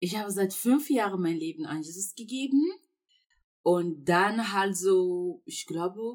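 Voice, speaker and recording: Speaking at a very slow pace, a woman with a medium pitch lets her voice swing very widely up and down. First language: not German (speaking German). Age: 20s. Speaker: university student. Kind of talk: casual faith conversation. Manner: hesitant, many fillers.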